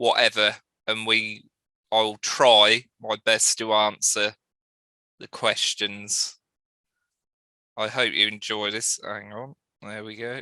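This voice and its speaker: A man's fairly low, bright, sharp voice in monotone, flat intonation, very slow with long, frequent pauses and big swings in loudness, dry and close with no echo on a very clean recording with a silent background. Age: 30s. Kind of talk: presentation. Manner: halting.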